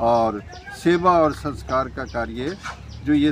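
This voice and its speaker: Noticeable noise sits in the background. This male speaker's pitch varies in an ordinary way. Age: 80s+. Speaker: community festival organizer. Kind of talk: interview.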